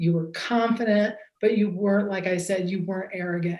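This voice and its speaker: A woman talks at a fairly quick pace. Her intonation stays monotone and flat. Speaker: judge scoring a mock trial. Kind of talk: feedback to students.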